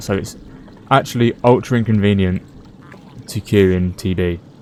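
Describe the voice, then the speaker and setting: A man mumbles at a fairly low pitch. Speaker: gaming commentator. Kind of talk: gameplay commentary. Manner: fast; mumbling.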